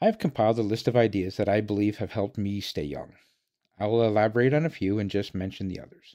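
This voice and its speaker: Talking very fast with a Canadian accent, a man has a fairly low pitch and a dark, mellow tone. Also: quiet background. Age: 50s. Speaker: podcaster. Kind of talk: scripted monologue.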